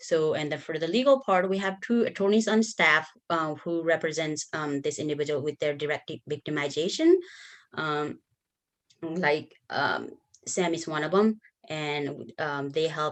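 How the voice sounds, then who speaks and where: Speaking with a Nepali accent, a woman talks at a fairly slow pace in a very deep, low pitch with ordinary pitch variation, over a quiet background. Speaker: bilingual advocate. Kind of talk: conference workshop presentation.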